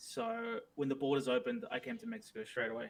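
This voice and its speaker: The voice has an Australian accent. Its pitch swings very widely. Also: man. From Australia, Melbourne. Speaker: streamer. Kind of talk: casual interview chat. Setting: live stream video call.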